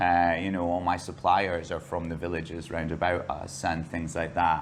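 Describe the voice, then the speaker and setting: Audible room echo surrounds a man's very deep, low voice. He speaks at a moderate pace in a flat monotone. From Scotland. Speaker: bar and restaurant owner. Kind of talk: interview.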